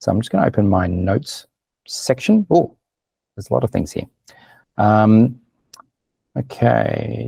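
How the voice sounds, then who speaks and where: Ordinary pitch variation and a dark, mellow tone in a dry, close sound with no echo. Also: man. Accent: Australian. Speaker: business marketing consultant. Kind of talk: webinar presentation. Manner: fast.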